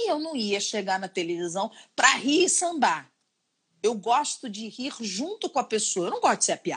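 This woman's pitch rises and falls very widely. She keeps a moderate speed. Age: 40s. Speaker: chef. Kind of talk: casual chat. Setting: Instagram live video call.

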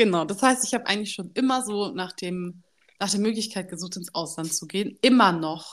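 A woman's animated, medium-pitched voice at a fairly quick pace with ordinary pitch variation. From Germany. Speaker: podcast co-host. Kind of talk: casual chat. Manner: animated, code-switching German and English.

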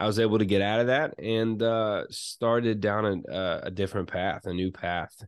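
A man speaks in an ordinary speaking voice at a moderate pace, with hardly any pauses. His pitch is fairly low and his intonation fairly even. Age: 30s. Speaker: pastor, soccer coach and small business owner. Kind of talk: casual chat.

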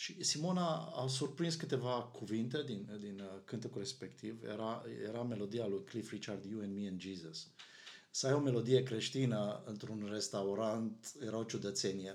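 Audible room echo surrounds a man who speaks at a moderate pace and medium pitch with lively intonation. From Romania, Arad. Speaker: pastor. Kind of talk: casual chat.

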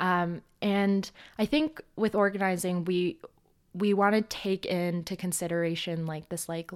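A woman with a Canadian accent has a normal speaking voice, fairly low in pitch, with fairly even intonation. She speaks at a fairly slow pace in a very clean recording with a silent background. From Edmonton, Canada. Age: 20s. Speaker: grad student and climate organizer. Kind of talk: casual interview.

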